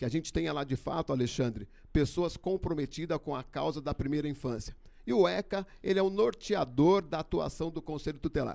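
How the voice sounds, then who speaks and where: A man speaks at a fairly quick pace in a fairly high pitch, his dark, mellow tone touched with vocal fry and carried by lively intonation. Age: 60s. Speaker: election candidate. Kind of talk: debate statement. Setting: studio.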